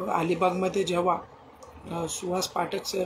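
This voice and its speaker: A man speaks in a high voice. Noticeable noise sits in the background. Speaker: interview host. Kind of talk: podcast interview questions.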